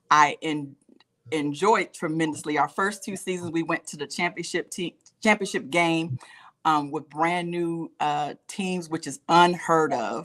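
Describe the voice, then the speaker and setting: A woman with an American accent in a normal speaking voice, fairly low in pitch, with big swings in loudness, ordinary pitch variation and a fairly slow pace. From Alabama, US South. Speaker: football coach and wellness coach. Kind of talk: talk show interview. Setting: live online show.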